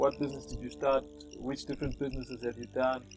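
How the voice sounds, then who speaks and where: Music can be heard in the background. Over it, a man talks at a fairly quick pace. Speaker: pastor and interviewer. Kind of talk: interview questions.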